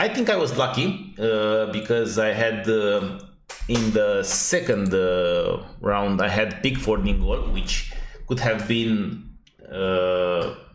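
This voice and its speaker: A man with a Romanian accent speaks very slowly at a medium pitch, with ordinary pitch variation and very even loudness, amid audible room echo and noticeable background noise. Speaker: fantasy football youtuber. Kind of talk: unedited casual analysis monologue. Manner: halting, many fillers.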